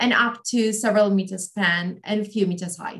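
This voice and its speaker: A somewhat breathy voice at a moderate pace with fairly even intonation and a quiet background. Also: woman. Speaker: postdoc researcher; webinar presenter. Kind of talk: webinar talk. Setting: video call. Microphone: video call.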